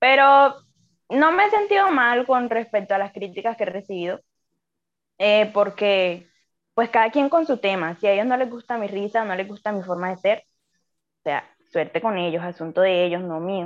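A woman's voice at a moderate pace, with lively intonation. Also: medium pitch for a woman. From Colombian Caribbean coast. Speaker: engineering student. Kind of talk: casual chat. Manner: animated.

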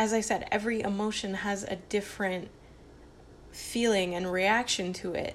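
A woman speaks at a fairly slow pace and a medium pitch. Her intonation is monotone and flat. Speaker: solo podcaster. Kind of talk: casual monologue. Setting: home kitchen. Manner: rambling, halting.

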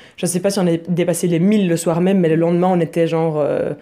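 The voice has a dark, mellow tone and a monotone, flat intonation. It moves along at a fairly quick pace. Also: woman. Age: 20s. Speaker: photographer and online group founder. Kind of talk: casual interview.

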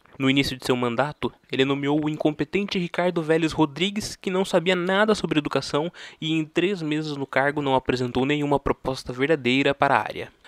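A man talks at a fairly quick pace with a fairly high pitch and ordinary pitch variation. He has a plain, everyday voice, and the sound is dry and close with no echo. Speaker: podcast host. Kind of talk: scripted narration.

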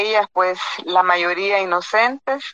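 A woman speaks at a very slow pace and medium pitch, with a dry, close sound and no echo. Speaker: lawyer and former judge, human rights advocate. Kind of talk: panel discussion. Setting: phone call.

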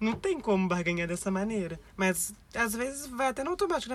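Over noticeable background noise, a woman talks at a fairly quick pace. Her fairly high voice makes very wide pitch swings. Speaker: backpacker, magnet collector. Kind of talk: casual chat.

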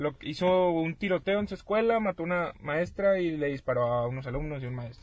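A man with an unremarkable speaking voice at a fairly high pitch, fairly quick and lively in intonation, with hardly any pauses. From Mexico. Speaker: podcast co-host. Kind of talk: casual chat.

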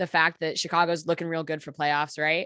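A woman speaks with a very deep, low pitch. Her tone is bright and sharp. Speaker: sports podcast co-host. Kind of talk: casual chat. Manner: laughs often, halting.

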